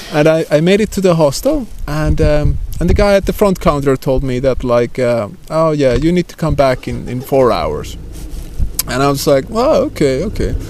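A man with a Finnish accent talks at a fairly high pitch. Noticeable background noise can be heard. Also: ordinary pitch variation, moderate pace. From Finland, Lapland. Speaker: traveler. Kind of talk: casual chat. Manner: halting.

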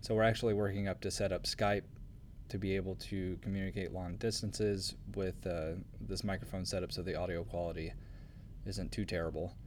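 In a normal speaking voice, a man talks at a fairly quick pace with a fairly low pitch and fairly even intonation. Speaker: podcast host, graduate student in geology. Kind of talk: interview.

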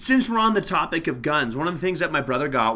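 A man's bright, sharp voice with lively intonation. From Canada (Alberta). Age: 30s. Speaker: podcast co-host. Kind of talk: casual chat.

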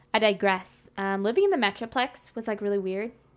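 A woman speaks with an American accent in a plain, everyday voice. Her medium pitch, fairly even intonation and moderate pace hold throughout. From Texas, Dallas-Fort Worth area. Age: 20s. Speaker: podcast guest. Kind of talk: casual chat.

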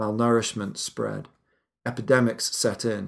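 This man talks at a fairly slow pace. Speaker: podcast narrator. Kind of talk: history documentary narration. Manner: measured, authoritative storyteller; steady, serious, gravely somber.

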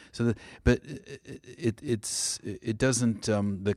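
In an American accent, a man speaks at a medium pitch, recorded very cleanly against a silent background with a dry, close sound and no echo. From California. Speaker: radio host. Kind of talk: casual radio chat. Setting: radio studio. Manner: halting, many fillers.

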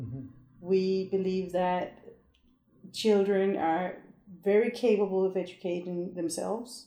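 In a room with audible echo, a woman speaks in a dark, mellow tone at a medium pitch, with ordinary pitch variation. Her pace is fairly slow, with long, frequent pauses. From Denmark. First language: Danish. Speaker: long-term traveling parent. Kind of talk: casual chat.

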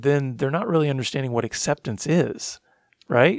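In a dry, close sound with no echo, a man with a normal speaking voice talks at a fairly high pitch and a moderate pace. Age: 40s. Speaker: ministry founder and director. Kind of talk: interview testimony.

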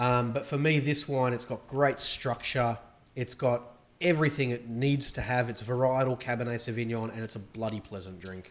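The speech moves at a moderate speed. Its pitch shifts an ordinary amount. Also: man, medium pitch for a man. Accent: Australian. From Australia, Melbourne. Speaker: wine merchant. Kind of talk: casual chat.

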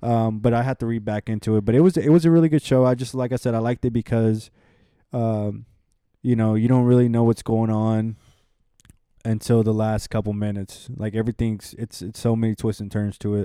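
An ordinary speaking voice, a man's at medium pitch, comes at a fairly quick pace with fairly even intonation and a dry, close sound with no echo. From Houston, Texas. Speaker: recent graduate, data analyst. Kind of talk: casual chat. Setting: apartment.

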